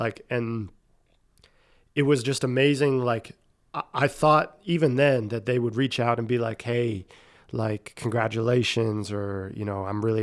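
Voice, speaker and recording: Recorded very cleanly against a silent background, a man with a plain, everyday voice and an American accent speaks at a moderate pace, with a medium pitch and fairly even intonation. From Pennsylvania (Erie). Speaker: sports coach, podcast guest. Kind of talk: interview.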